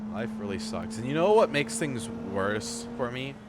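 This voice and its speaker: With noticeable background noise and audible room echo, a man speaks at a fairly quick pace with lively intonation. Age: 20s. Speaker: live streamer. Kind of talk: casual livestream chat.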